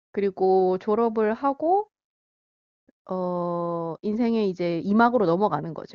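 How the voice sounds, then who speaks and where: A woman speaks at a medium pitch. Her pace is very slow and her pitch varies in an ordinary way. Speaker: phone guest. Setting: phone call.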